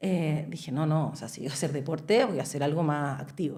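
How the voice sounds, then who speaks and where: A woman talks at a fairly quick pace, and audible room echo surrounds her voice. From Chile. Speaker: podcast guest. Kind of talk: casual chat.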